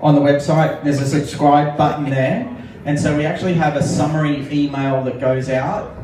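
With audible room echo and noticeable background noise, a man talks at a moderate pace with fairly even intonation. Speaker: meetup marketing organizer. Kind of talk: event announcements. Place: bar.

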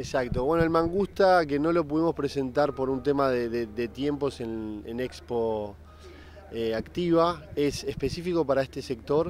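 At a moderate pace, a man talks at a medium pitch with a slightly mellow tone and ordinary pitch variation.

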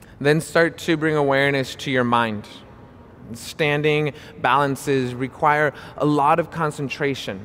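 A man speaks at a fairly slow pace, with a fairly high pitch and fairly even intonation. His tone is calm, and light background noise can be heard. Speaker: yoga instructor. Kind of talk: guided yoga class with spoken cues. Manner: calm, clear, instructional; encouraging, friendly. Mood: calm, soothing. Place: hall.

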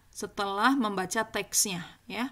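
The recording is very clean, its background silent. The speaker is a woman. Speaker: Japanese language teacher. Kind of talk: tutorial.

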